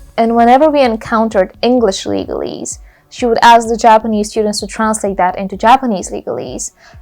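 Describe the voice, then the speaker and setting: Against music in the background, a woman speaks at a very fast pace with a fairly high pitch and fairly even intonation. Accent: Bulgarian. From Bulgaria. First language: Bulgarian. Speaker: YouTuber. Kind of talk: Q&A video monologue. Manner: casual, conversational.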